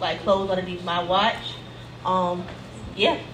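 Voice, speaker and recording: Background noise is noticeable. The room echo is audible too. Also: woman. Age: 20s. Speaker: clothing brand owner. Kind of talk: live podcast interview. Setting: live event with audience.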